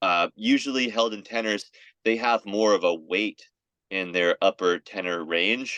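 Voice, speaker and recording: This man has a normal speaking voice, fairly low in pitch, with an American accent. His pitch varies in an ordinary way, and the sound is dry and close with no echo. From Florida. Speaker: singer. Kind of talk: interview.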